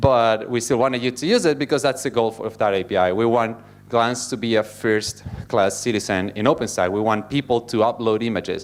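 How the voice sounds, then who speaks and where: A man with an Italian accent, medium pitch and a fairly quick pace. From Italy. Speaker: software engineer. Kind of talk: conference talk. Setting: stage with audience. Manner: fast.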